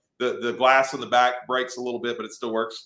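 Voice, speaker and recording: A man's medium-pitched, bright, sharp voice at a very fast pace. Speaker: automotive YouTuber. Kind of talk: casual chat. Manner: loud.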